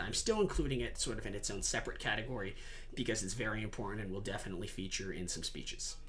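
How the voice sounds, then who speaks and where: A man speaks with an American accent. Audible room echo surrounds his voice. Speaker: debate coach or student lecturer. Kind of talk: lecture. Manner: fast.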